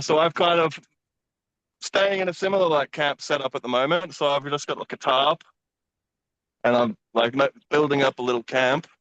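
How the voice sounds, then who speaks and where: A man with an Australian accent speaks in a fairly high pitch at a moderate pace with long, frequent pauses, the sound dry and close with no echo. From Queensland, Australia (Brisbane). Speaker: traveller. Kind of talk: casual chat. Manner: hesitant, many fillers.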